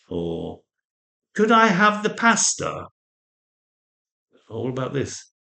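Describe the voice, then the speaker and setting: Bright, sharp tone in a man's raised, projected voice. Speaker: English teacher. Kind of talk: casual talk to camera. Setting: outdoors. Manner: slow, friendly, hesitant.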